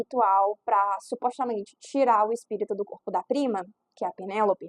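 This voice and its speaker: The speaker is a woman. Her sound is dry and close, without any echo. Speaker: book YouTuber. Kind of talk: casual book review vlog. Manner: fast; animated.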